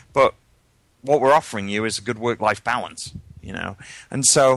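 On a very clean recording with a silent background, a man with a medium pitch speaks at a fairly quick pace with ordinary pitch variation. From UK. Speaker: tech recruiter and jobs board founder. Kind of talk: casual interview. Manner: halting, many fillers and repeats.

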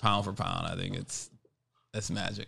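Here is a man talking. He has an American accent. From Buffalo, New York (East Side). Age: 40s. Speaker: IT consulting firm CEO. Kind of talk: interview conversation.

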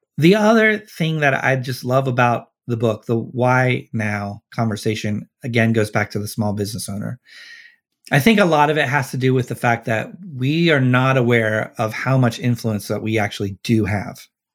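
A man with an American accent talks at a moderate pace in a very clean recording with a silent background. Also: medium pitch for a man, ordinary pitch variation. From US Midwest, Cincinnati, Ohio. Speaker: social entrepreneur and author. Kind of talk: interview.

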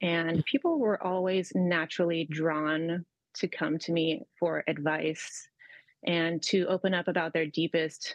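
This woman has an ordinary speaking voice. Her pitch is fairly low and her pace fairly slow. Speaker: mentor. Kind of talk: casual chat.

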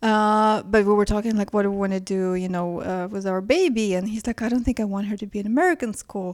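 A woman's medium-pitched voice at a very fast pace with hardly any pauses and fairly even intonation, in a very clean recording with a silent background. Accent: Ukrainian. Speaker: fashion stylist and editor. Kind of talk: casual interview conversation. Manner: hesitant, self-correcting, many fillers.

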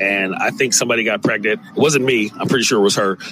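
A man with an American accent speaks in an animated tone over noticeable background noise. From US West Coast, San Francisco. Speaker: podcast host and comedian. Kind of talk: casual monologue.

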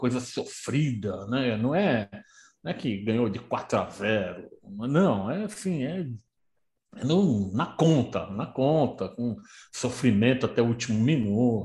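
Somewhat breathy and at medium pitch, a man talks at a fairly slow pace with very wide pitch swings. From Brazil, São Paulo city. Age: 60s. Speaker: football historian and author. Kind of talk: casual chat.

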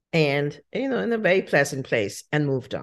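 Against a quiet background, a woman with very deep, low pitch and vocal fry speaks at a moderate pace, her pitch swinging very widely. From India, Shimla. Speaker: winery owner. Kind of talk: casual interview chat.

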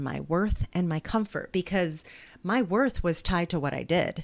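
A woman's fairly low-pitched, ordinary speaking voice with an American accent at a moderate pace, on a very clean recording with a silent background. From New Jersey, US. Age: 40s. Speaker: author and speaker. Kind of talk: casual interview conversation.

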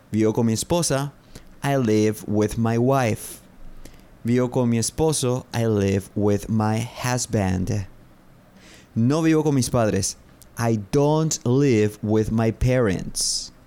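Very slow, with long, frequent pauses, a man speaks at a medium pitch in a dark, mellow tone, his loudness very even and his pitch variation ordinary. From Paraguay. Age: 30s. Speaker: English teacher and podcast host. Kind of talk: language lesson. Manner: slow, repetitive phrasing.

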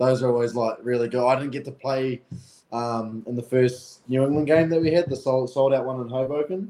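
A man's dark, mellow, medium-pitched voice in a New Zealand accent, at a fairly quick pace with ordinary pitch variation. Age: 20s. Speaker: professional rugby player. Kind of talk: interview.

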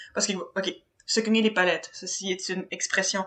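A woman speaks with a Quebec accent. Her tone is bright and sharp, and her intonation fairly even. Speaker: podcast co-host.

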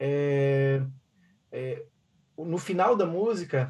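A man talks with ordinary pitch variation. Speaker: band musician. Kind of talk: casual interview. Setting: video call.

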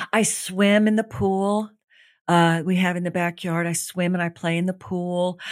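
A woman with a fairly low pitch talks at a fairly slow pace with fairly even intonation. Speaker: author and healing teacher, former actress. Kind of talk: casual interview. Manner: sassy, with a big laugh.

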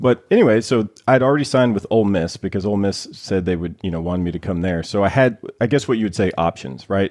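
A man with an American accent speaks at a very fast pace with hardly any pauses. His voice is fairly low, with ordinary pitch variation. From US South. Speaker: professional baseball pitcher. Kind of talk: interview. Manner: animated.

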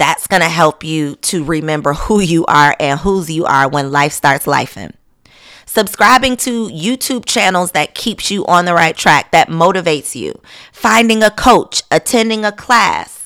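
Speaking at a fairly slow pace, a woman has a fairly low pitch, a bright, sharp and animated tone, and lively intonation. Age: 30s. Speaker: podcast host and blogger. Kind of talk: casual monologue.

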